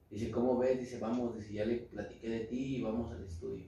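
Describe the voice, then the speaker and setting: Audible room echo and noticeable background noise surround a man speaking at a moderate pace and medium pitch. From central Mexico. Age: 20s. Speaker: rapper. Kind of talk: casual chat.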